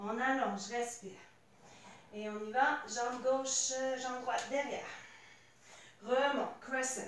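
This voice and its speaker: Very slow speech with long, frequent pauses, a calm tone and fairly even intonation comes through audible room echo and light background noise. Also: woman, high pitch for a woman. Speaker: fitness instructor. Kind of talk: guided workout class. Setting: home video workout. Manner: calm, coaching cues; short imperative cues. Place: home room. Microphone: camera far.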